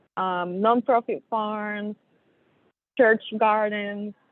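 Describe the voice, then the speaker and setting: Speaking at a very slow pace, a woman with a Puerto Rican accent keeps a monotone, flat intonation. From Puerto Rico. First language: Spanish. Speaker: soil health specialist. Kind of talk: webinar presentation. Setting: remote call from an airport. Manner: hesitant, many fillers.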